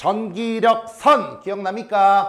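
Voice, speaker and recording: Quiet yet animated, a man speaks at an extremely high pitch with audible room echo. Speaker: high school physics teacher. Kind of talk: classroom lecture. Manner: animated, questioning students; slower and quieter for key points.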